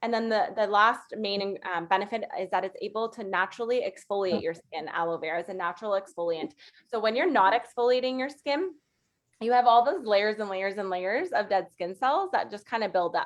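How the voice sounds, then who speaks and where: A woman speaks fairly quickly in a fairly high pitch with lively intonation. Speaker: makeup artist and skincare consultant. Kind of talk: sales presentation. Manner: fast; casual, chatty.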